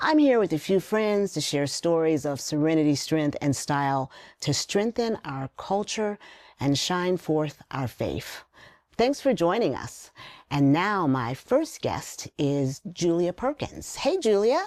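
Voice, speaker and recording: On a very clean recording with a silent background, a woman speaks at a fairly slow pace and fairly low pitch with very wide pitch swings. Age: 60s. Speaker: talk show host. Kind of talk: scripted introduction.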